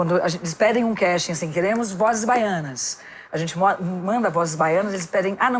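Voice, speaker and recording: A woman speaks very fast with a São Paulo accent at medium pitch and ordinary pitch variation. Noticeable background noise runs underneath. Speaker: actress and voice-over artist. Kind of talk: casual chat. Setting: podcast recorded in a bar set.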